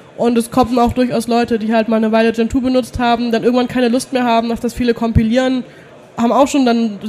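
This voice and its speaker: Through noticeable background noise, the speech comes at a very fast pace in a monotone, flat intonation. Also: woman. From Germany, near Heidelberg. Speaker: Linux community volunteer. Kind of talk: interview. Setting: trade fair hall.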